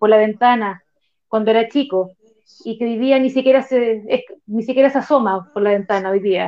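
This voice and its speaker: Speaking in a fairly high voice with a Chilean accent, a woman keeps her intonation fairly even. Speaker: psychologist. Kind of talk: casual chat.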